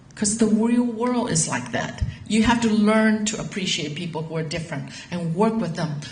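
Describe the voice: A woman speaks at a moderate pace and medium pitch, with ordinary pitch variation and a slightly mellow tone, in audible room echo.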